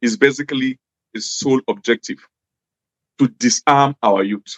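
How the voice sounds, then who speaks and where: The speaker has a northern Nigerian accent and a moderate pace. The sound is dry and close, with no echo. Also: man. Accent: Nigerian English with Hausa. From Nigeria, Jos (Plateau State). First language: Hausa. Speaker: former government official. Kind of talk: interview.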